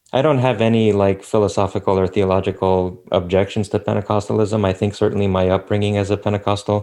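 Over a quiet background, a man with an American accent talks very fast with hardly any pauses, his fairly low, dark and mellow voice held at very even loudness and a monotone, flat intonation. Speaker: theologian. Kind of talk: interview conversation.

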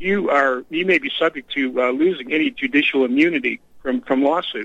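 In an American accent, a man with a normal speaking voice talks at a fairly high pitch with ordinary pitch variation. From Texas. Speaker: caller. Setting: phone call.

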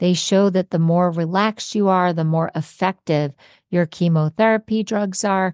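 Dry and close with no echo, this quiet-background clip has a woman speaking in a plain, everyday voice, fairly low in pitch with fairly even intonation. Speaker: podcast host. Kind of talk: podcast intro and interview.

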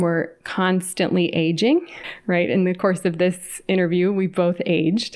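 A woman speaks at a fairly slow pace with a medium pitch. The recording is very clean, with a silent background. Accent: American. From California. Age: 40s. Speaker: clinical psychologist. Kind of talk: interview.

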